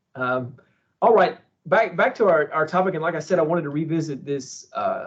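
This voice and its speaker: Fairly quick speech from a man with a Texan accent and a fairly high pitch. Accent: own accent remarked on, Texan. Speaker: university internship program director. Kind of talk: webinar conversation.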